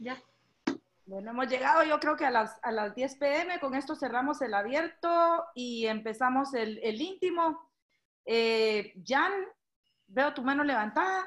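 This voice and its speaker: With lively intonation and a high voice, a woman speaks at a fairly slow pace in a very clean recording with a silent background. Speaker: online event host. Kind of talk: event moderation.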